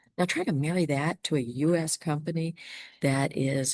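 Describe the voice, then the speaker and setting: A woman is speaking. She talks with a Southern US accent. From US South (Savannah, Georgia). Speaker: healthcare business consultant. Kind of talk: webinar talk. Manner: hesitant with fillers.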